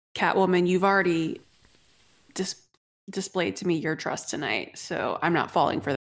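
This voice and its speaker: A woman puts on a raspy character voice, fairly low in pitch. She moves at a moderate pace with long, frequent pauses. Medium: actual play. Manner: gruff, stern.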